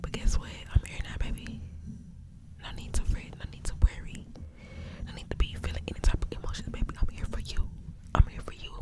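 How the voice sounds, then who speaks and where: A woman whispers at a fairly quick pace. Her voice is breathy. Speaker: ASMR creator. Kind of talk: soft ASMR personal attention talk. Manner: breathy close-mic whisper. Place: home room. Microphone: studio mic.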